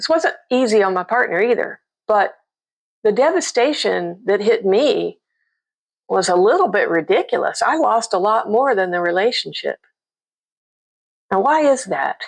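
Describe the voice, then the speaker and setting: Against a quiet background, a woman with a fairly high pitch and vocal fry speaks at a moderate pace, her pitch swinging very widely between long, frequent pauses. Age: 60s. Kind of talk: casual talk to camera.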